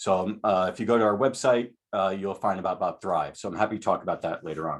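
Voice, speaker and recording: A man is speaking. His pace is very fast. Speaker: school psychologist and professor. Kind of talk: webinar presentation.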